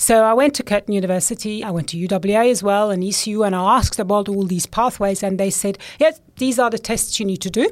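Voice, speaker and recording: A woman with a German accent at a very fast pace, medium pitch and ordinary pitch variation, on a very clean recording with a silent background. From Switzerland. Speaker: scientist, computational chemist. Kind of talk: casual interview chat. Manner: laughs often, conversational.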